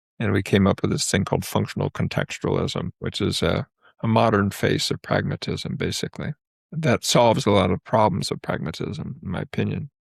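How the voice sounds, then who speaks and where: A man talks at a fairly quick pace and a fairly low pitch, with vocal fry. The sound is dry and close, with no echo. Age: 70s. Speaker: psychologist. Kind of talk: interview conversation.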